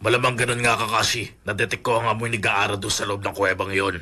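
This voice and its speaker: A man's raspy, put-on character voice at a medium pitch and a very fast pace. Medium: fan dub.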